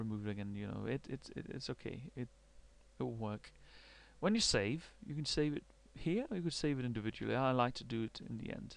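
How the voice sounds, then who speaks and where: A man talks at a fairly quick pace with a Danish accent. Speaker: university researcher. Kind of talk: software tutorial. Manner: halting, many fillers and repetitions.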